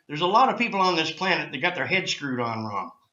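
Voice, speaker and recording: With audible room echo around him, a man talks in a high voice whose pitch swings very widely. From Canada, Nova Scotia. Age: 60s. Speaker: cannabis activist. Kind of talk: interview. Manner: animated.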